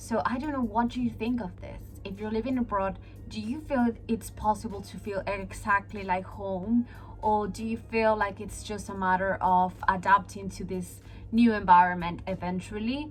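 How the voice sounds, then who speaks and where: Over music in the background, a speaker with a Peruvian accent talks at a moderate pace with big swings in loudness. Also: woman. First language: Spanish. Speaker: vlogger. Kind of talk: casual vlog talking to camera.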